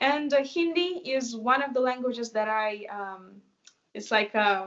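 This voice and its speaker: In a Russian accent, a woman talks at a fairly slow pace with a high pitch and lively intonation. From Russia, Moscow. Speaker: dancer and choreographer. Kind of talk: interview.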